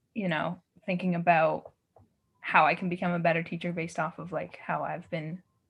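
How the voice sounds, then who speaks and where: A woman with a Canadian accent talks at a fairly quick pace in a fairly low pitch, her intonation monotone and flat, with vocal fry. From Yukon, northern Canada. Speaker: artist and dancer. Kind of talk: casual interview chat.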